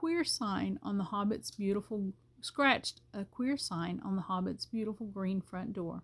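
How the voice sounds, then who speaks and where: On a very clean recording with a silent background, a woman of medium pitch sounds somewhat breathy, with ordinary pitch variation. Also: dry, close sound with no echo. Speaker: grandmother reading aloud. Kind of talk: audiobook reading of a novel.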